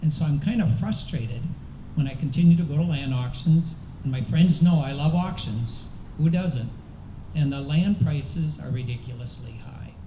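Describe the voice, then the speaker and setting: A man with a fairly high voice talks at a moderate pace with ordinary pitch variation. Audible room echo and noticeable background noise are present. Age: 60s. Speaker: political candidate. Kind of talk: candidate forum answer.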